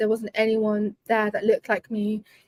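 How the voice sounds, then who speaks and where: A woman's fairly high voice at a fairly quick pace, dry and close with no echo. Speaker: tech professional and community builder. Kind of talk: interview. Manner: fast.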